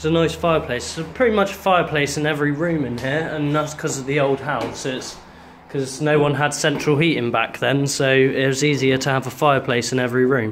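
Over light background noise, the speaker talks at a fairly quick pace with ordinary pitch variation. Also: man. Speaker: vlogger. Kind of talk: casual vlog commentary. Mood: relaxed, curious. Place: home room. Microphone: phone near.

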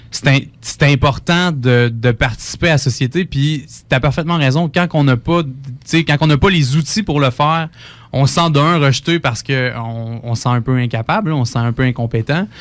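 A man's medium pitch varies in an ordinary way while he talks at a moderate pace. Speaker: community radio host. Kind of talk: radio interview. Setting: radio studio. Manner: animated.

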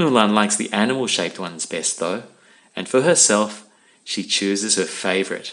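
Someone does plain reading aloud here.

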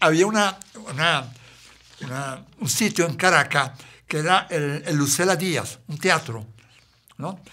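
A man's fairly high, bright and sharp voice at a fairly slow pace, with long, frequent pauses and ordinary pitch variation. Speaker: interview host; stand-up comedian. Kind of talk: interview talk.

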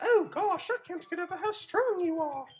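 This is a put-on character voice with a British accent at an extremely high pitch. It runs at a moderate pace.

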